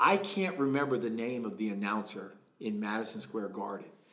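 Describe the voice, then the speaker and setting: Audible room echo surrounds a man speaking at a moderate pace. His pitch swings very widely. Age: middle-aged. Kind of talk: casual interview.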